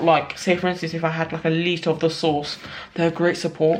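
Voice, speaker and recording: A woman speaks with a fairly low pitch. Background noise is noticeable. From London, UK. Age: 20s. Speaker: small sauce business owner. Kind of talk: casual vlog talk to camera.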